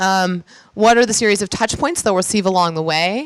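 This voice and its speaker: At a very fast pace, a woman speaks with medium pitch and fairly even intonation. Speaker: physician and healthcare founder. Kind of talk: conference talk. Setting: stage with audience. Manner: casual with filler words.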